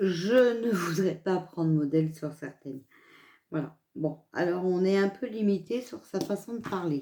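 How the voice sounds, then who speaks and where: A woman with a dark, mellow tone and a medium pitch speaks very slowly, her pitch swinging very widely. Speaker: card reader. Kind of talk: casual chat. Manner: hesitant; stutter.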